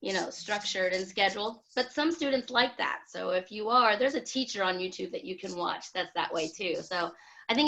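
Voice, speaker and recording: A woman speaks loudly with a bright, sharp tone and lively intonation over a quiet background. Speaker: online English teacher, video chat host. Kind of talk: casual group video chat. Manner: loud, boisterous.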